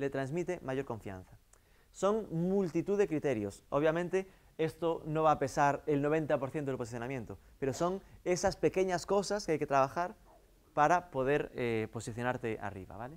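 A man's fairly high voice at a moderate pace, with lively intonation. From Galicia, Vigo area; Galicia. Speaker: marketing consultant; guest lecturer. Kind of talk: lecture. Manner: halting. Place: classroom.

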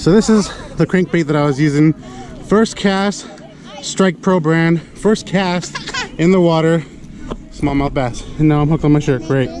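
A man's fairly high pitch with ordinary pitch variation, at a moderate pace, in very even loudness, with long, frequent pauses and crowd noise in the background. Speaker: vlogger. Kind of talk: casual vlog narration. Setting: outdoors. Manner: animated.

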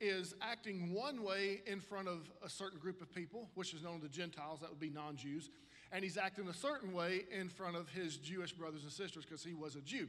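This man has a high pitch with ordinary variation. He speaks with hardly any pauses. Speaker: pastor. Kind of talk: sermon. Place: stage. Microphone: handheld.

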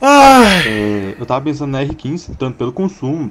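A man's voice against noticeable background noise. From Goiás, Brazil. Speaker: caller, motorcycle owner; motorcycle youtuber. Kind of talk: recorded question to a host. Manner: halting. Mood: playful, joking. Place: home room. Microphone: studio mic.

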